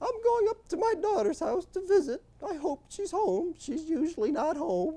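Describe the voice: Putting on a squeaky character voice, a woman speaks at a moderate pace in an extremely high pitch with very wide pitch swings.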